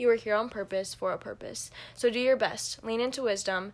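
A woman has a normal speaking voice, pitched fairly high with fairly even intonation. She talks at a fairly quick pace. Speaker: podcast co-host. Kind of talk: casual chat.

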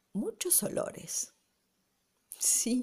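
A woman with a Rioplatense accent speaks in a warm, gentle tone. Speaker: amateur storyteller, local resident. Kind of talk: spontaneous oral storytelling, nostalgic memoir told to a listener. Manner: warm, gentle, unhurried, intimate and reflective.

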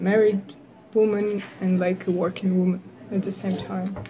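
A woman with a Russian accent, medium-pitched and at a fairly slow pace. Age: 20s. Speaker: university student. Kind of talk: casual interview. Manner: halting.

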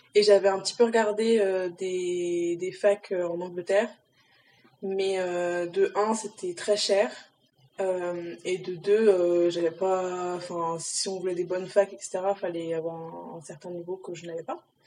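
A woman speaks at a very slow pace in a flat monotone, her loudness swinging widely. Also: medium pitch for a woman. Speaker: university student. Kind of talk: casual chat.

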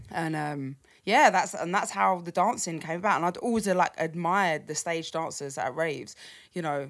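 Speaking at a moderate pace with lively intonation, a woman with a southern English accent and fairly low pitch comes through on a very clean recording with a silent background. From London, then Cambridgeshire countryside. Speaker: drum and bass and garage DJ. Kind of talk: casual interview chat.

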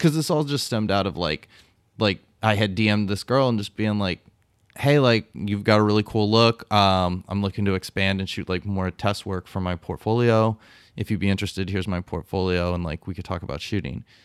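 A man speaks at a fairly quick pace in an unremarkable speaking voice, fairly low in pitch with ordinary pitch variation. The recording is very clean with a silent background and a dry, close sound with no echo. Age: 40s. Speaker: podcast co-host, photographer. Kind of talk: casual chat. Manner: jokey, profane.

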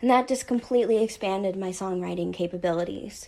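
In an ordinary speaking voice, a woman with an American accent speaks at a moderate pace with ordinary pitch variation, in a very clean recording over a silent background. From United States. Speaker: electro pop musician. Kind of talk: self-introduction monologue.

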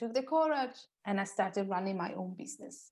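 This woman talks at a fairly quick pace, her pitch medium and its variation ordinary. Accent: Italian. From Italy. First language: Italian. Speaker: personal stylist. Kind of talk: interview.

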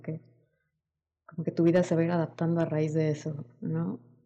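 A woman speaks in a fairly low, somewhat breathy voice with a dark, mellow tone. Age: 20s. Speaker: podcast co-host. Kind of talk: casual chat.

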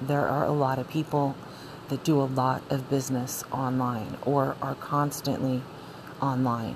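Over noticeable background noise, a woman speaks at a fairly slow pace. Her pitch is very deep and low, with monotone, flat intonation. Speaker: podcast host. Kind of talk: solo monologue. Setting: cold room.

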